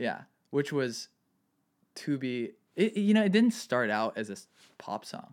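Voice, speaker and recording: A man with an American accent speaks at a fairly slow pace, leaving long, frequent pauses, on a very clean recording with a silent background. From California (Santa Barbara, Ojai). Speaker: music producer and composer. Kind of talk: casual chat.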